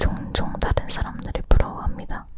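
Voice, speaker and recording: A whispered voice moves at a fairly slow pace, with noticeable background noise behind it. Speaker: ASMR creator. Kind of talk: ASMR whispered chat.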